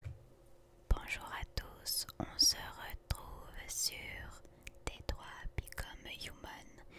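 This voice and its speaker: The words are whispered very slowly. Noticeable noise can be heard behind them. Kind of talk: ASMR gaming commentary.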